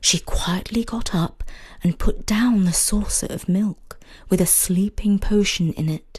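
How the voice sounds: The speaker reads in a natural voice.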